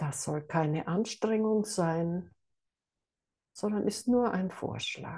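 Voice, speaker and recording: At a very slow pace, a woman with a medium pitch and a dark, mellow, somewhat breathy voice speaks in a calm, soothing tone, leaving long, frequent pauses. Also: ordinary pitch variation. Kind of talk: guided meditation. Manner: slow, calm, soothing.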